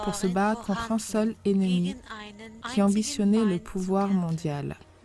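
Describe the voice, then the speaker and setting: Intonation stays fairly even in speech that goes very slowly. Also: woman. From Russia. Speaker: private citizen making a video appeal. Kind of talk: political appeal to camera.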